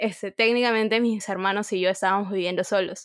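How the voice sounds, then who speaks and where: An ordinary speaking voice with fairly even intonation. The recording is very clean, with a silent background. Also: woman. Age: 20s. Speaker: podcast host. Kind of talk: casual chat.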